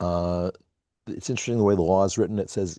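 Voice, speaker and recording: A man's very deep, low voice in a dark, mellow tone with an American accent, dry and close with no echo, over a quiet background. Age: 60s. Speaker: community call participant. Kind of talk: casual chat. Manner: halting, many fillers.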